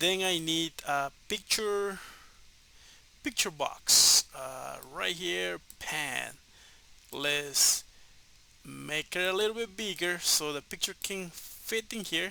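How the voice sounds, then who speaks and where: Speaking at a very slow pace with long, frequent pauses, a man uses a high pitch, a bright, sharp tone and ordinary pitch variation. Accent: Spanish. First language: Spanish. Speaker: programming tutor. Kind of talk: tutorial. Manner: halting, many fillers.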